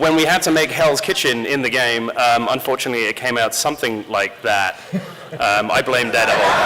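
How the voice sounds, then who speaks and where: The speaker has a British accent and a fairly quick pace, with ordinary pitch variation. Loudness stays very even over noticeable background noise. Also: man, medium pitch for a man. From rural England. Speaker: game company community director and panel moderator. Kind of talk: convention panel presentation. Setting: stage with audience. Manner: lively, joking.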